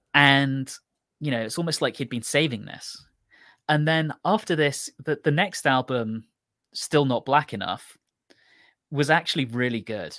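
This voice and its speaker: With an English accent, a man speaks at a fairly high pitch and a fairly slow pace, using long, frequent pauses, ordinary pitch variation and a bright, sharp tone, in a dry, close sound with no echo on a very clean recording with a silent background. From England. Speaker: podcast co-host. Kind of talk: casual chat.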